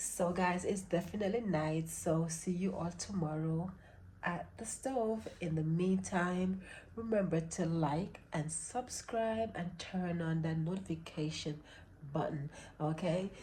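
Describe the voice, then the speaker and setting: With audible room echo, a woman in a Jamaican accent speaks fairly slowly in a somewhat breathy, dark, mellow tone, her pitch fairly low with ordinary variation. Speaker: cooking vlogger and mom. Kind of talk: casual vlog cooking tutorial. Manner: chatty, informal.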